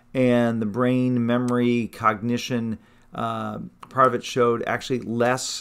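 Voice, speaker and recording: A man at a medium pitch and moderate pace, flat and monotone in intonation. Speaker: family doctor. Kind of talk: health talk. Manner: hesitant, many fillers.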